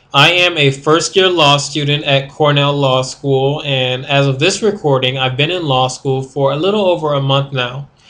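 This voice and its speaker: A man's fairly high voice with an American accent, bright, sharp tone and fairly even intonation. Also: moderate pace. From US Northeast (Rochester, New York). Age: 20s. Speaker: law student. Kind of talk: video diary. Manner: hesitant, many fillers.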